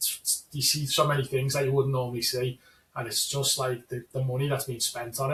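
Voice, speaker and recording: This man talks very fast at a medium pitch. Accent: Scouse. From Liverpool, England. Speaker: fantasy football league player. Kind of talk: casual chat. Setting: call.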